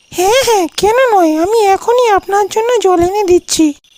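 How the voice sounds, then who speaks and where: In a squeaky, cartoonish character voice, a female-sounding speaker talks at an extremely high pitch and a moderate pace. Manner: menacing.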